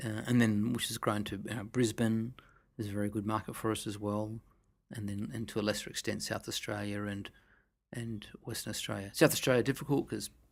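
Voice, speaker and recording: A soft-spoken man at a fairly quick pace, monotone and flat, on a very clean recording with a silent background. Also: fairly low pitch for a man. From Australia. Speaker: winemaker. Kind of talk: interview answer.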